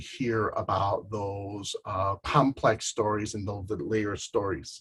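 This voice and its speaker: A man with a Spanish accent speaks at a fairly slow pace in a fairly low, somewhat breathy voice with fairly even intonation. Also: very clean recording, silent background. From Chicago, grew up partly in Southern California and Jalisco. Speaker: artist and arts educator. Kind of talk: panel talk presentation. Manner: hesitant, many filler words.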